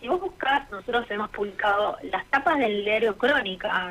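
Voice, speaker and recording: A woman speaks at a fairly slow pace with very wide pitch swings. Noticeable background noise runs underneath. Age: 60s. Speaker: lawyer and author. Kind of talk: radio interview.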